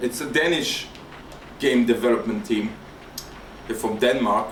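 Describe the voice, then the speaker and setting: A man with a non-native accent, plus noticeable background noise and audible room echo. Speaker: gaming YouTuber. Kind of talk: let's play commentary. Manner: hesitant, with fillers and repetitions.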